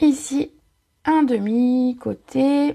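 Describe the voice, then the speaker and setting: Lively intonation from a woman at a high pitch. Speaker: papercraft product demonstrator. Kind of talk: live craft tutorial. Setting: live video stream. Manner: chatty, casual.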